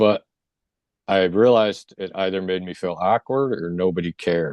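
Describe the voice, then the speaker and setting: The speech is mumbled and fairly slow, with ordinary pitch variation. The sound is dry and close, with no echo. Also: man. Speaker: near-death experience survivor and energy healer. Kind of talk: interview testimony. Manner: mumbling.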